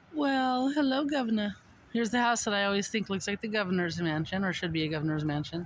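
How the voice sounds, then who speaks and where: The speaker mumbles at a very fast pace. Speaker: vlogger. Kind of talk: casual walking vlog narration. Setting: outdoors. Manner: mumbling.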